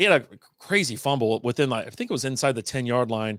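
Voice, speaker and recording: On a very clean recording, a man's voice comes through against a silent background. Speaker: fantasy football podcast host. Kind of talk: solo podcast commentary. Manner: fast; casual, animated.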